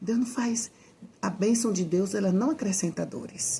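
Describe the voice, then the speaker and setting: A soft-spoken woman talks at a fairly slow pace. Her tone is dark and mellow, with vocal fry. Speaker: evangelical Bible teacher. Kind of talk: informal sermon. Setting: at home at night.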